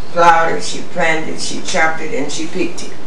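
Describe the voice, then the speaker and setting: A woman with an American accent at a moderate pace, with audible room echo and noticeable background noise. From Rosenberg, Texas, USA. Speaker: storyteller recalling family history. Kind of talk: oral history interview answer. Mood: calm, proud reminiscing. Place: home room.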